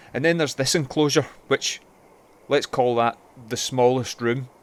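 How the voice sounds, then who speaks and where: With a Glaswegian accent, a man talks at a medium pitch. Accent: Glaswegian Scottish. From Glasgow, Scotland. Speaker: local history video presenter. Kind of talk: documentary narration.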